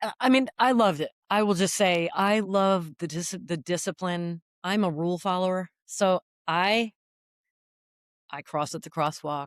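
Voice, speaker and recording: In a very clean recording with a silent background and a dry, close sound with no echo, a woman speaks at a fairly slow pace in an ordinary speaking voice of medium pitch, with ordinary pitch variation. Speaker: retired navy helicopter pilot. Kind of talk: interview.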